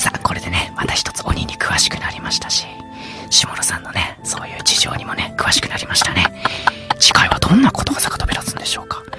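A man whispers at a very fast pace. Music is clearly heard in the background. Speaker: voice actor. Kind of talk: radio show banter between two voice actors. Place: studio.

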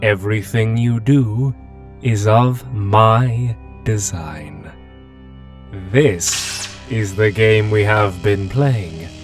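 Doing a put-on character voice, a man speaks very slowly in a fairly low pitch while clear music plays in the background. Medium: audio drama. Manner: smug, menacing.

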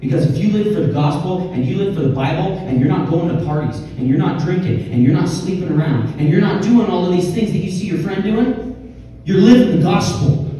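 Strong room echo surrounds a voice that moves at a fairly quick pace with hardly any pauses and ordinary pitch variation. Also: man, high pitch for a man. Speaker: youth pastor. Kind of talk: sermon. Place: stage.

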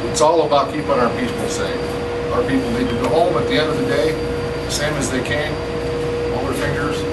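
Against loud background noise, a man speaks at a fairly quick pace. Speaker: tour guide. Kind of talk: guided tour explanation. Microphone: camera far.

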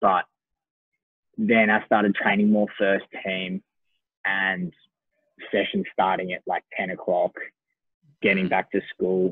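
A man with an Australian accent at a fairly slow pace, with long, frequent pauses and a dry sound with no echo. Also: quiet background. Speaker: professional footballer. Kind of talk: casual chat. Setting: video call. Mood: relaxed, smiling. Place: home room. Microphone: video call.

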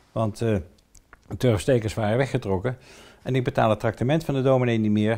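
Speech comes at a fairly quick pace with a dark, mellow tone. The intonation stays fairly even against a quiet background. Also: man. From Netherlands, Ede (Gelderland); Netherlands. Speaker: cemetery manager. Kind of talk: local history storytelling interview; interview answer. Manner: hesitant, many filler sounds. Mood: calm, storytelling. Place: home room.

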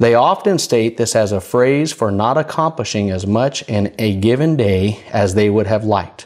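Here is an ordinary speaking voice with ordinary pitch variation. It moves at a moderate pace with hardly any pauses. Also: man, medium pitch for a man. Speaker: minister / preacher. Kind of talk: prophetic declaration read as the Lord's words.

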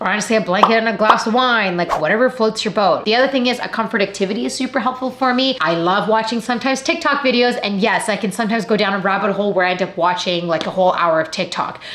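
A woman with a Canadian accent talks at a very fast pace with hardly any pauses, at a fairly high pitch with ordinary pitch variation, in audible room echo. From Canada. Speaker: actor and YouTuber; actor, YouTuber. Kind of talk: vlog talk to camera. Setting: at home. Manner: animated. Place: home room.

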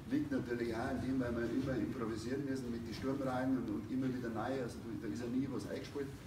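Amid noticeable background noise, a man with a medium pitch talks at a very fast pace with hardly any pauses and fairly even intonation. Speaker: ice hockey coach. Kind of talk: press conference. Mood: resigned, explaining heavy loss. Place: home room. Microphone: no microphone; camera far.

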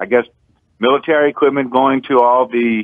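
A man with an American accent. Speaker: caller. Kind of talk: talk radio call-in. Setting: phone call.

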